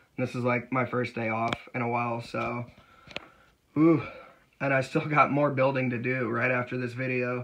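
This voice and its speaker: Amid noticeable background noise, a man speaks at a medium pitch and a moderate pace, with long, frequent pauses. His intonation is monotone and flat. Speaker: LEGO builder and YouTuber. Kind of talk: casual video update. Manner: hesitant, many fillers.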